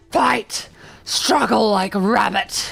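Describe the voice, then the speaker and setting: This put-on character voice is raspy and shrill, pitched fairly high. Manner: frustrated, shrieking.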